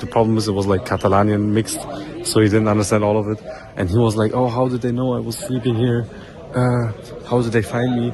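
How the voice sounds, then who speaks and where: Noticeable background noise sits behind a man speaking at a very fast pace. He has a fairly low pitch and fairly even intonation. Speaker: travel vlogger; exchange student. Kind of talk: vlog. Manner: casual; quiet.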